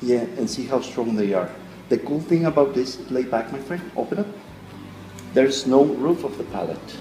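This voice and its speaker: There's audible room echo and light background noise as a man talks at a moderate pace. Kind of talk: demonstration explanation to camera. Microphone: phone near.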